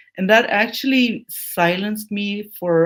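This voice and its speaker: In a very clean recording with a silent background, a woman speaks with lively intonation in a Turkish accent. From Turkey, Anatolian village, Kurdish family. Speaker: academic researcher. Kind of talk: interview.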